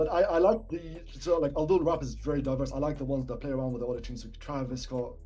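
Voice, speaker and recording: Over music in the background and audible room echo, a man speaks at a very fast pace. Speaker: rapper. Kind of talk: casual chat.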